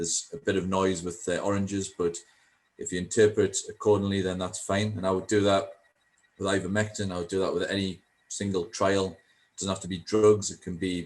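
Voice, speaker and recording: With a Geordie accent, a man talks at a fairly quick pace in a monotone, flat delivery. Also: fairly low pitch for a man. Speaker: statistician. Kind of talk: panel Q&A. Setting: video call. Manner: hesitant, many fillers.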